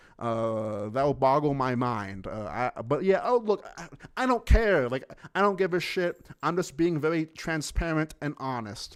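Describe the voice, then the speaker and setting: A man speaks in a fairly high pitch. His pitch swings very widely. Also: fairly slow pace. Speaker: streamer, commentator. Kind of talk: casual stream talk. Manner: halting, stammering.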